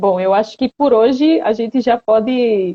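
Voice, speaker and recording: This woman's fairly high pitch carries ordinary pitch variation. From Recife, Pernambuco, Brazil. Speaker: patient advocate, live-stream host. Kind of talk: live-stream interview. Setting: online live stream.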